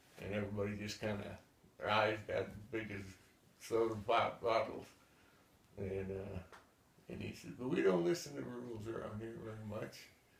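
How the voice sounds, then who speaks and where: A man with a fairly low, somewhat breathy voice speaks at a moderate pace with ordinary pitch variation, long, frequent pauses, big swings in loudness and audible room echo. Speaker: war veteran. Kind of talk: oral history interview. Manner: halting, many repetitions and fillers.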